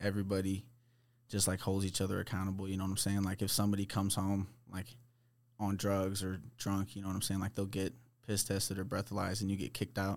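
A man with an American accent rattles along at a very fast pace in a fairly low, monotone, flat voice. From US Midwest, St. Louis, Missouri. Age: 20s. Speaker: recovering addict telling life story. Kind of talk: casual chat.

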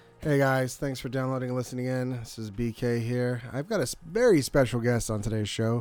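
At a fairly quick pace with hardly any pauses, a man uses an unremarkable speaking voice at medium pitch with fairly even intonation. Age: 30s. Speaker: podcast co-host. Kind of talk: casual comedic banter. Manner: playful, laughs often.

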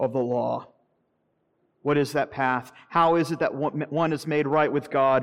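A man with an unremarkable speaking voice, fairly high pitched, fairly even in intonation and fairly slow in pace. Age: 40s. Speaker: pastor. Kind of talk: sermon.

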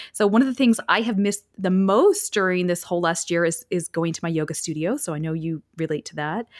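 A woman with a plain, everyday voice talks at a fairly quick pace with hardly any pauses, her fairly low pitch showing ordinary variation, in a dry, close sound with no echo on a very clean recording with a silent background. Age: 40s. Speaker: podcast host and former reality TV contestant. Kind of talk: casual interview chat.

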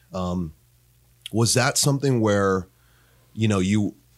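An unremarkable speaking voice from a man at a fairly low pitch, on a very clean recording with a silent background. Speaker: podcast host. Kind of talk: casual interview.

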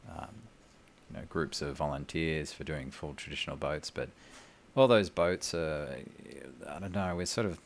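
The speaker has an Australian accent and audible vocal fry. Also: man. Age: 30s. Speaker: boat builder. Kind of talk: casual chat.

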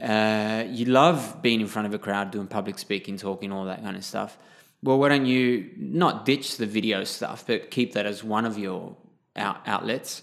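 In an Australian accent, the speaker goes at a moderate pace with ordinary pitch variation on a very clean recording with a silent background. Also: man, fairly low pitch for a man. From Sydney, southwest suburbs, Australia. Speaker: clown performer and photographer. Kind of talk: casual interview. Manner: animated, laughs often.

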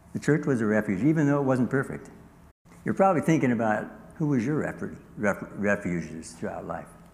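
A man's fairly quick speech with vocal fry, very wide pitch swings and long, frequent pauses. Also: medium pitch for a man. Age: 70s. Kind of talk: sermon. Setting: church. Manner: halting.

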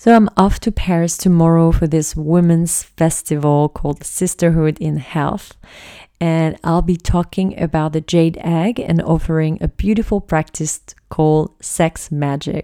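On a very clean recording with a silent background, a woman with a fairly low pitch, dark, mellow tone and ordinary pitch variation speaks at a fairly slow pace. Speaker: sex and empowerment coach. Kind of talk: podcast monologue.

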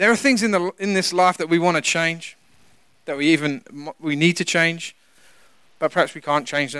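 On a very clean recording with a silent background, a man with a high pitch talks at a moderate pace, using ordinary pitch variation and long, frequent pauses. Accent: British. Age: 40s. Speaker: pastor. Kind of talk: sermon.

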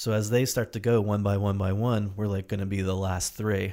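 A man with an American accent and an unremarkable speaking voice, fairly low in pitch, with fairly even intonation, on a very clean recording against a silent background. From New Jersey. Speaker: podcast host. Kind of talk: casual interview.

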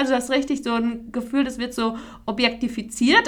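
With a high pitch and fairly even intonation, a woman speaks. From Hesse, Taunus area. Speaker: podcast co-host. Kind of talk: casual chat.

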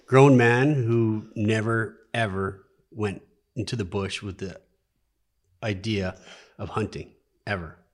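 A man talks in a fairly low pitch with ordinary pitch variation. His pace is very slow, with long, frequent pauses. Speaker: nurse and moose hunter. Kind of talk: casual chat. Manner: joking, playful.

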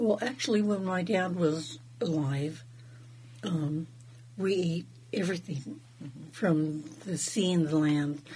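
A woman speaks very slowly, with long, frequent pauses and a fairly low pitch. Her voice is somewhat breathy and her intonation is lively. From Southeast Alaska, Wrangell. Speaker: fry bread maker, traditional food preparer. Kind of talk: casual interview.

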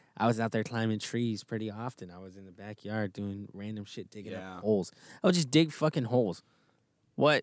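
A man with an American accent speaks in a normal speaking voice, fairly low in pitch, at a fairly quick pace. His pitch varies an ordinary amount while his loudness swings widely, and the recording is very clean over a silent background. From Texas. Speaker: podcast co-host, recent graduate. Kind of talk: casual chat.

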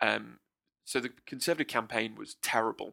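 Recorded very cleanly against a silent background, with a dry, close sound and no echo, a man speaks at a moderate pace with a British accent. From UK. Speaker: political commentator guest. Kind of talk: political analysis in casual chat. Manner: halting, repeats words.

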